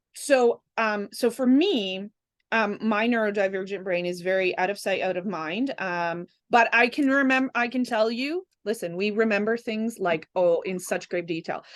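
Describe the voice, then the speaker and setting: Here is a woman with an ordinary speaking voice, pitched fairly high. She talks at a moderate pace over a quiet background. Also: ordinary pitch variation. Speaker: holistic energy practitioner and podcast guest. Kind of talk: casual chat.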